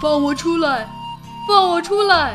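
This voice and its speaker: A put-on character voice at a fairly slow pace, with clear background noise. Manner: calling out, pleading.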